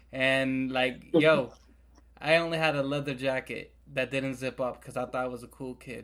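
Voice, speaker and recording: Delivered at a fairly slow pace, the speech has monotone, flat intonation on a very clean recording with a silent background. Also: man. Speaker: podcast co-host. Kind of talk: casual chat.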